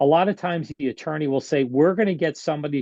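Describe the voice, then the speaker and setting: Against a quiet background, a man talks at a fairly quick pace in a fairly high pitch, his dark, mellow tone captured with a dry, close sound and no echo, his pitch varying in an ordinary way. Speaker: surgeon and medical expert witness. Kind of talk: interview. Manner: fast.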